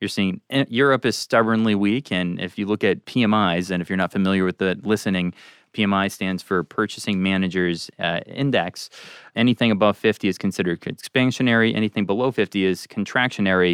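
A man with a plain, everyday voice speaks at a fairly low pitch and a fairly quick pace. His intonation is fairly even, and the sound is dry and close with no echo. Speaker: investment strategist. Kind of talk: podcast hosting. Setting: studio.

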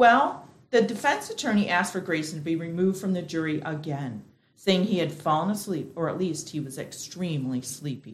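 The voice is somewhat breathy, with lively intonation. It goes at a fairly quick pace. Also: woman, fairly low pitch for a woman. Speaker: actor playing a juror. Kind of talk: noir parody, dramatized. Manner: brisk, sassy, no-nonsense.

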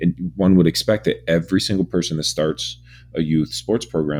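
Vocal fry runs through a man's very deep, low voice as he speaks at a moderate pace. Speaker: radio announcer and business owner. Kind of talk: casual chat.

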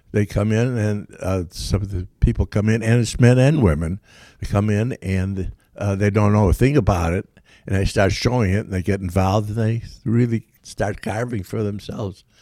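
This man has a fairly low pitch and a dark, mellow tone, talking at a moderate pace with fairly even intonation over a very clean recording with a silent background. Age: 90s. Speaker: wood carver and volunteer teacher. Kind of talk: interview. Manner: halting.

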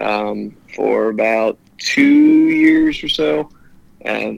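With noticeable background noise behind him, a man talks in a US Midwestern accent. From Ohio, Cincinnati area. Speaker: electrician. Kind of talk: interview.

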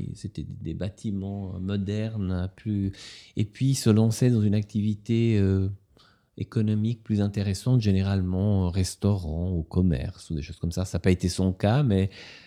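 Speaking fairly slowly with an Italian accent, a man has a fairly low pitch and a dark, mellow tone on a very clean recording with a silent background. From Ticino, Switzerland. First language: Italian (speaking French). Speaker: novelist and literature professor. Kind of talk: author interview.

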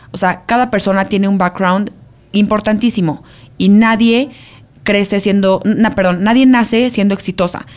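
A woman's unremarkable speaking voice, medium in pitch, at a moderate pace, with fairly even intonation and very even loudness. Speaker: podcast co-host and entrepreneur. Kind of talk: casual chat.

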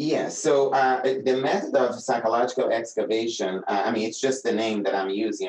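A man speaks with a Brazilian accent. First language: Portuguese. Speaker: doctor and researcher, playwright. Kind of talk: casual interview conversation.

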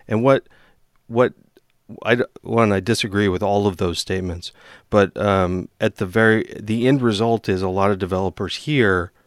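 A man with a plain, everyday voice speaks at a moderate pace in a fairly low pitch, recorded very cleanly against a silent background with a dry, close sound and no echo. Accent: American. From eastern Washington, US. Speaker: software engineer and podcast host. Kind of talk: casual chat.

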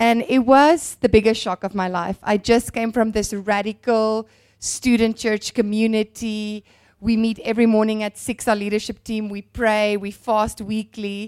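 In a very clean recording with a silent background and a dry, close sound with no echo, a woman speaks at a fairly high pitch with flat, monotone intonation. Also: moderate pace. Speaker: minister's wife. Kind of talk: testimony. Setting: church.

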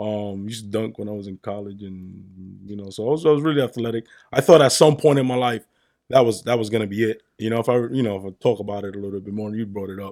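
A man's fairly low, dark, mellow voice with a New York accent, very fast pace, big swings in loudness and ordinary pitch variation, on a very clean recording with a silent background. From New York, the Bronx. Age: 30s. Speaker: car parts business owner. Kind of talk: casual chat.

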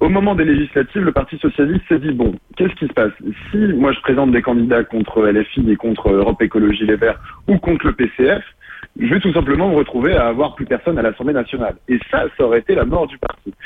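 At a very fast pace, a man with a fairly high pitch talks with very wide pitch swings. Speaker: student, political activist. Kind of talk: radio interview. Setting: phone call.

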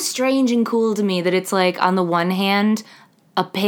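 The speaker reads in an unforced voice.

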